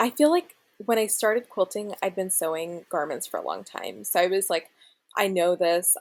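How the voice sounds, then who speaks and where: In an ordinary speaking voice with an American accent, a woman talks at medium pitch and a moderate pace, her pitch varying in an ordinary way. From US South, Florida (Gainesville). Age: 20s. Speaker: quilt pattern designer. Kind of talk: podcast interview.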